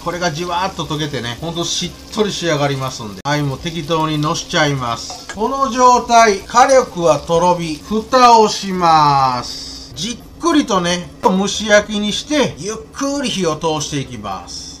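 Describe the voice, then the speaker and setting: Over light background noise, a man talks in a high pitch, with very wide pitch swings and big swings in loudness. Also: fairly slow pace. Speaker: presenter. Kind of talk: tutorial. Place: kitchen.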